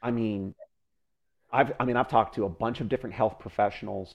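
A man with a plain, everyday voice talks at a fairly low pitch with ordinary pitch variation against a quiet background. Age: 30s. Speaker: fitness podcast co-host. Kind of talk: casual chat.

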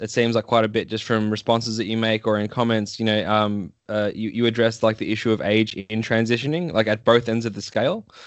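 Fairly quick with hardly any pauses, the speaker uses an Australian accent and fairly even intonation. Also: man. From Australia, Melbourne. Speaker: podcast host. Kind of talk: casual interview.

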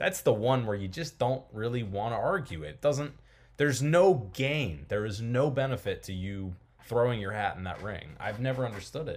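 On a very clean recording with a silent background, a man with a somewhat breathy, medium-pitched voice talks at a moderate pace with lively intonation. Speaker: podcast host. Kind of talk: casual chat.

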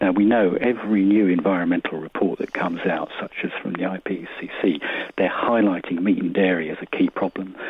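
A man's very deep, low voice with fairly even intonation, amid noticeable background noise. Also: moderate pace. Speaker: radio caller. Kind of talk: radio phone-in. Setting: phone call.

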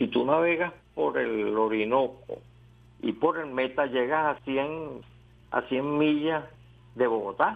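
Very slowly and with long, frequent pauses, a man speaks with ordinary pitch variation. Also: medium pitch for a man. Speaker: historian. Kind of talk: interview.

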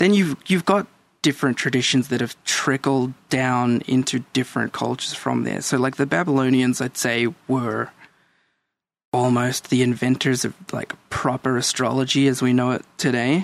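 A man talks at a moderate pace in a medium pitch. His pitch varies in an ordinary way. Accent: Australian. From El Salvador, raised in Australia. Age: 30s. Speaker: guest. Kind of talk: casual chat.

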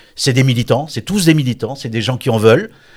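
A man's ordinary pitch variation comes through on a very clean recording with a silent background. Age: 60s. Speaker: politician. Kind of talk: interview. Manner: halting.

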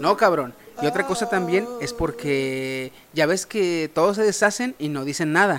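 Music plays in the background as a man talks at a fairly slow pace. His pitch is high, and his intonation is lively. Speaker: podcast host. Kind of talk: casual chat. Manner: animated.

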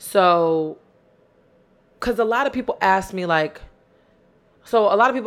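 A woman speaks in an animated tone. Her intonation is lively. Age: 20s. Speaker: podcast host. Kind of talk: casual solo monologue. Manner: loud.

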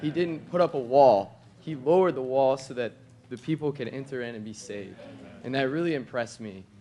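A man with a plain, everyday voice talks at a fairly quick pace and a medium pitch. His loudness swings widely, while his pitch variation is ordinary. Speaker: church member. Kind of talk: testimony. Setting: church meeting with audience.

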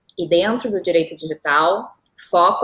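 A woman in a southern Brazilian accent, at a fairly slow pace with ordinary pitch variation. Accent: gaúcho. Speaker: lawyer specialising in digital law. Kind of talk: interview. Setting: live stream.

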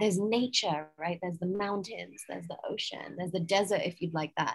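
A woman with an American accent talks in a somewhat breathy voice. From England. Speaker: yoga teacher and mindset coach. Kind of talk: interview. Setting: outdoors in a garden. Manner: calm.

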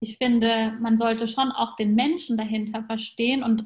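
Somewhat breathy and fairly high-pitched, a woman talks at a moderate pace with fairly even intonation. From Germany, grew up between German and Persian culture. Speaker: podcast host. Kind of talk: casual interview chat.

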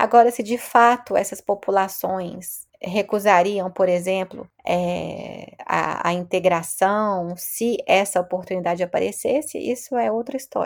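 Here is a woman with a plain, everyday voice, pitched at a medium level with ordinary pitch variation. She talks at a fairly slow pace with hardly any pauses. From Brazil, Belo Horizonte. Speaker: sociologist professor. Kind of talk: interview.

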